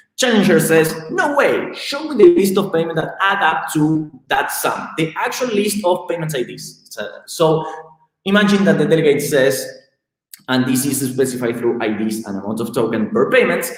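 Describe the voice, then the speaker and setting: At a moderate pace, a man with a fairly high pitch makes very wide pitch swings, with audible room echo in the recording. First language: not English. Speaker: tech company co-founder presenting research. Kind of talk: technical presentation. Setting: live stream. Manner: halting, many fillers.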